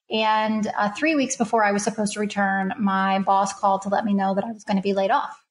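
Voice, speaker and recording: A somewhat breathy woman's voice at medium pitch, with an American accent. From Kentucky, US. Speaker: HR consultant. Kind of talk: casual interview chat.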